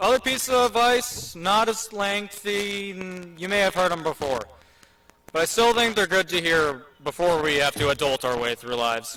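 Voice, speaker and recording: A man with an American accent, his pitch high for a man, his raised, projected voice making very wide pitch swings at a moderate pace over noticeable background noise. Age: 18. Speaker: graduating student speaker. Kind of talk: commencement speech. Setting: stage with audience.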